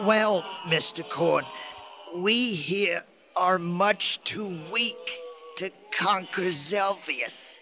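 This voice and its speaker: Using a put-on character voice with a high pitch, a man speaks at a very slow pace with long, frequent pauses. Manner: formal, solemn, grave.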